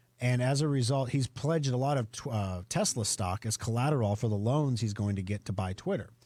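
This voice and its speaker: A man's dark, mellow, somewhat breathy voice at medium pitch, with ordinary pitch variation and a fairly quick pace, on a very clean recording with a silent background. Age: 40s. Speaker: radio show host and computer company owner. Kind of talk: radio tech talk show. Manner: casual, conversational with fillers.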